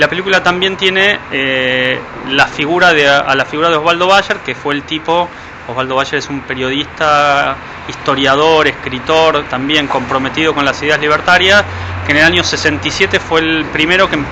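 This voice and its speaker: Moderate pace and ordinary pitch variation, over noticeable background noise. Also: man, fairly high pitch for a man. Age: 30s. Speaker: film director. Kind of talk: interview.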